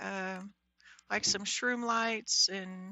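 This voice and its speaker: A quiet woman's voice, very slow in pace, with monotone, flat intonation. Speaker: Minecraft livestreamer. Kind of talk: live gameplay commentary. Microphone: mic volume reported as bad.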